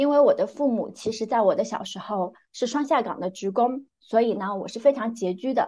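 A woman with a dark, mellow tone speaks with hardly any pauses. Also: fairly high pitch for a woman, ordinary pitch variation, moderate pace. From northern Jiangsu, China (small county town). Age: 30s. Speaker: big data product director and life coach. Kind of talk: interview, personal life story.

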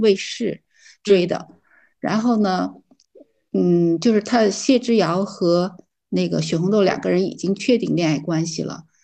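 Against a quiet background, a woman with a dark, mellow tone speaks at medium pitch and a moderate pace with ordinary pitch variation. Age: 60s. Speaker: retiree. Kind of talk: casual chat. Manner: halting.

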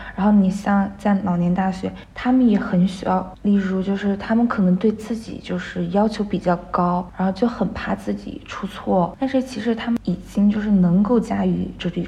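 Over noticeable background noise, a woman at medium pitch speaks at a moderate pace with fairly even intonation and hardly any pauses. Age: 20s. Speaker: dance student and part-time dance teacher. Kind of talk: interview.

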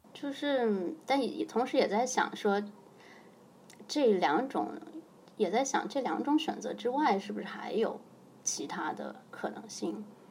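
Speaking at a very slow pace with long, frequent pauses, a woman with a fairly high pitch uses lively intonation in a room with audible echo. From China (Xinjiang, then Hainan). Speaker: chess coach. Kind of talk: casual interview chat.

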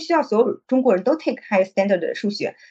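Her pitch swings very widely from phrase to phrase. The woman's voice sits fairly high. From Shanghai (migrant family, moved in primary school). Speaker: e-commerce manager. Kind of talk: casual chat.

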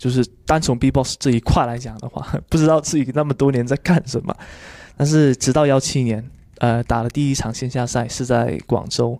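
On a very clean recording with a silent background and a dry, close sound with no echo, a man with a Cantonese accent speaks at a moderate pace in a dark, mellow tone, with medium pitch and fairly even intonation. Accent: Cantonese-tinged Mandarin. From Guangdong, China. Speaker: beatbox champion and judge. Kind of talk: casual interview.

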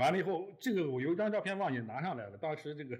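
Somewhat breathy and very fast, a man talks with lively intonation. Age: 60s. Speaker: newspaper editor. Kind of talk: casual chat. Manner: halting.

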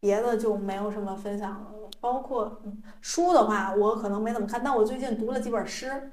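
Speaking at a moderate pace with hardly any pauses, this voice comes through with audible room echo and noticeable background noise. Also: woman, fairly high pitch for a woman. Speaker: podcast co-host. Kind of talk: casual chat. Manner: animated, laughing.

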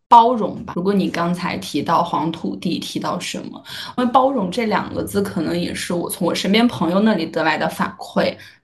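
With hardly any pauses, a woman with a fairly low pitch speaks at a moderate pace. Her intonation is lively, and there is noticeable background noise. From Shaanxi, northwest China. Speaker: podcaster. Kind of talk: casual chat.

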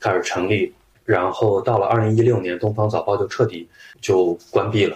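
Somewhat breathy speech comes at a moderate pace with ordinary pitch variation. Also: man. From Shaanxi, China. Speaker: journalist. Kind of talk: interview conversation.

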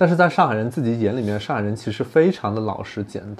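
This man has a normal speaking voice at medium pitch, with lively intonation. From not from Shanghai. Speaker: podcast host. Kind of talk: casual chat.

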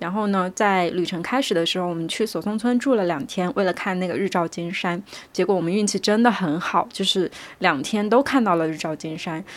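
This woman has a plain, everyday voice. She speaks at a medium pitch and a fairly quick pace. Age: 20s. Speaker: podcast host. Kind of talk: solo monologue. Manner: relaxed, conversational.

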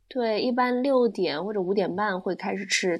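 In an unremarkable speaking voice, a woman talks at a moderate pace with a fairly high pitch and ordinary pitch variation. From China, Wenzhou. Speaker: former esports event host. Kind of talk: casual chat.

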